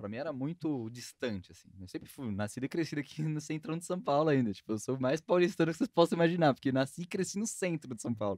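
Talking at a very fast pace with hardly any pauses, this man has a fairly high pitch, very wide pitch swings and big swings in loudness, all in a dry, close sound with no echo. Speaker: podcast host. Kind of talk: casual podcast chat.

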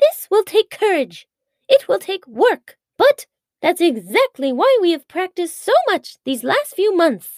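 Extremely high woman's voice with very wide pitch swings at a fairly slow pace, in a dry, close sound with no echo. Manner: brisk, commanding.

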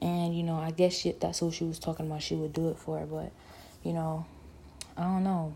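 A woman with an American accent talks at a fairly quick pace yet with long, frequent pauses, her voice fairly low, somewhat breathy, dark and mellow, in a monotone, flat intonation. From Ohio. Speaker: solo podcaster. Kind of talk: personal monologue. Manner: rambling, unscripted.

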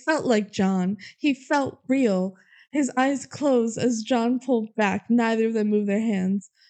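This is someone reading aloud in a natural voice, with ordinary pitch variation.

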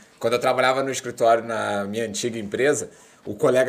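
A man speaks at a very fast pace with ordinary pitch variation, noticeable background noise behind him. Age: 30s. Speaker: podcast host. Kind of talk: casual chat.

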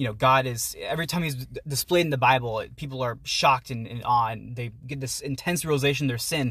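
Speaking very fast in an American accent, a man keeps a medium pitch and fairly even intonation. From Pittsburgh area, US. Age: 20s. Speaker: university student and writer. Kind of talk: casual chat. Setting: outdoors.

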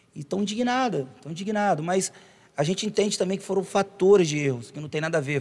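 A man's somewhat breathy voice rises and falls in pitch in an ordinary way. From Brazil, Itaperuna (Rio de Janeiro state). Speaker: podcast host and singer. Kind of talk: casual chat.

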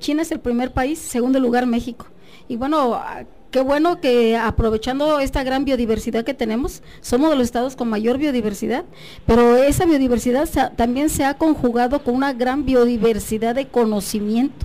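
A woman's high, dark, mellow voice at a moderate pace, with ordinary pitch variation. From Mexico, Guerrero mountain region (Tlapa de Comonfort). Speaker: biology professor. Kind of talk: radio interview.

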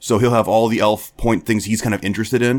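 Flat and monotone, a man speaks with a medium pitch. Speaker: podcast host. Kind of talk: casual chat.

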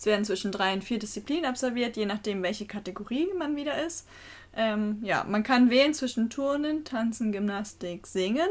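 At a moderate pace, a woman with an unremarkable speaking voice talks at a fairly high pitch with lively intonation. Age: 20s. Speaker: trainee primary school teacher and youth board member of a sports club. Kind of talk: podcast interview. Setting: small room above the club office.

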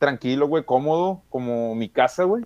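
The sound is dry and close, with no echo. A man with a fairly high pitch speaks in an unremarkable speaking voice with ordinary pitch variation. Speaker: podcast co-host. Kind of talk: casual chat. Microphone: recording on a phone.

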